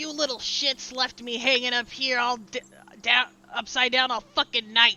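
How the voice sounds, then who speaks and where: A put-on character voice, fairly high and hissing, with monotone, flat intonation at a moderate pace. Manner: hissing, angry.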